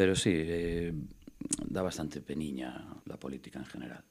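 A man talks in a very deep, low voice with a Galician accent. His pitch varies an ordinary amount. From Galicia, Spain (Costa da Morte, Fisterra area). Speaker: actor and local councillor. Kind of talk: casual chat.

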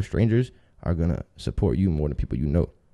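A man with an American accent talks at a very fast pace in a dark, mellow tone. The background is quiet. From Tampa, Florida. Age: 20s. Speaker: rapper. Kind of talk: casual chat.

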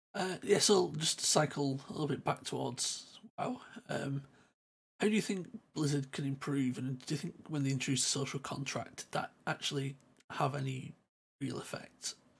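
The man's voice is somewhat breathy and fairly high in pitch. He keeps a moderate pace with ordinary pitch variation. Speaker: podcast co-host. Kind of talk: casual chat.

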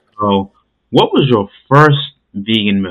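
A man with a normal speaking voice and a fairly low pitch talks at a moderate pace. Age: 30s. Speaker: podcast host. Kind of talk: podcast interview.

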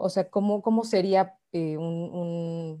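A woman's dark, mellow voice at medium pitch, with a Mexican accent, on a very clean recording with a silent background. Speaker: live stream host. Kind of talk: casual chat.

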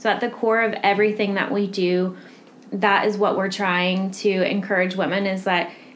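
A woman with monotone, flat intonation talks at a medium pitch while noticeable background noise carries on around her. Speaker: charity office manager and podcast interviewer. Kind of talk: casual interview.

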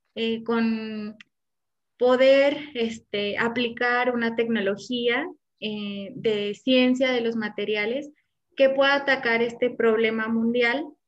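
With fairly even intonation and a fairly high pitch, a woman speaks at a very slow pace. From Morelia, Mexico. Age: 20s. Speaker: doctoral student. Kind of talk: casual interview chat. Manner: hesitant, many fillers.

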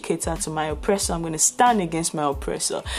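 A woman's fairly low voice over background music. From Nigeria. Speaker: podcast host. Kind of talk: solo commentary monologue. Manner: passionate.

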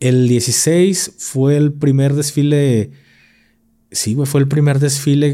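A man talks at a very slow pace, fairly high in pitch. His tone is dark and mellow in a very clean recording with a silent background. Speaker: former army soldier. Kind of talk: casual chat. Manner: animated.

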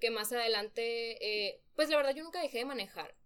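This woman talks at a fairly quick pace. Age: 20s. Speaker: young mother, nutrition graduate. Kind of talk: personal testimony in a podcast interview.

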